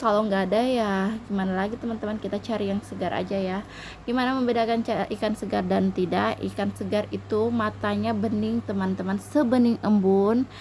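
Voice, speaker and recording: Fairly quick female speech against noticeable background noise. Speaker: housewife vlogger. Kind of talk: casual vlog narration. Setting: traditional market, outdoors.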